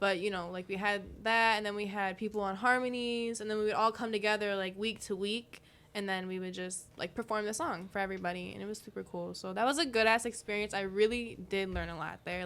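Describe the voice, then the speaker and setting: A woman with an American accent talks fairly quickly at a medium pitch, her bright, sharp tone carried on fairly even intonation. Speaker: singer-songwriter. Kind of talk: casual chat. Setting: studio. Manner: fast.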